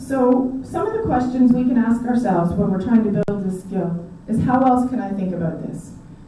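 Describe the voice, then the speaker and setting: A woman speaks at a moderate pace with a fairly high pitch and hardly any pauses. Her pitch varies in an ordinary way, and background noise is noticeable. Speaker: conference speaker. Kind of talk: talk. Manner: shaky when speaking long.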